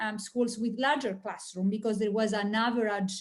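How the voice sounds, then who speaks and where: A woman speaks at a fairly high pitch with an Italian accent. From Italy. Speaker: industry analyst. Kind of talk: webinar presentation. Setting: online webinar.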